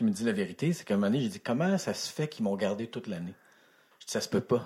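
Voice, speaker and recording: An ordinary speaking voice from a man, medium in pitch, with lively intonation. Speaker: actor. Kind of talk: casual chat.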